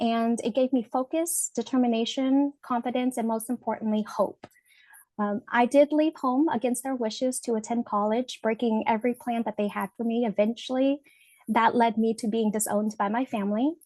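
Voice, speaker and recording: A woman's dark, mellow voice sits at a fairly high pitch, her intonation fairly even and the sound dry and close with no echo. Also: moderate pace. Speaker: webinar presenter. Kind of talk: personal testimony in a webinar presentation. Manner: halting with many fillers.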